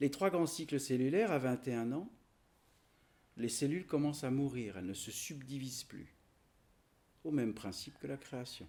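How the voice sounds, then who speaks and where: With a dark, mellow tone, a man uses lively intonation, big swings in loudness and long, frequent pauses. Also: medium pitch for a man, moderate pace. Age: 60s. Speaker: spiritual teacher. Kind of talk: spiritual teaching talk. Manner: halting.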